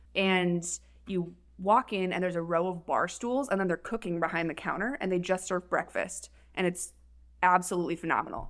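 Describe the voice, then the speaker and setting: In an Upper Midwest accent, a woman talks at a fairly quick pace. Her pitch sits in the medium range. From Minnesota. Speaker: paramedic. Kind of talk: casual chat.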